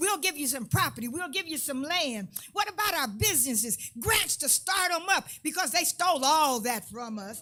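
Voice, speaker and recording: Music plays behind a woman with a high pitch and a raised, projected voice. She moves at a moderate pace with very wide pitch swings. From US, Los Angeles area (Compton). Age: 70s. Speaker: community activist. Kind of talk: public comment at a community meeting. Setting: public listening session with audience. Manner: impassioned.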